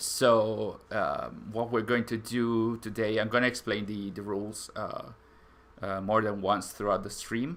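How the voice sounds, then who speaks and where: The speaker talks at a fairly slow pace in an Italian accent, with monotone, flat intonation. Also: man. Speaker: gaming streamer. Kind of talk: live stream chat. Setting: live stream. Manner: halting, many fillers.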